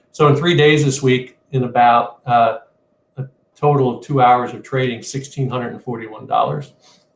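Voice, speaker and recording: Somewhat breathy, this man speaks at a medium pitch with fairly even intonation. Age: 60s. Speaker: trader. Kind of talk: trading webinar screen-share walkthrough. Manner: halting, many fillers and repeats.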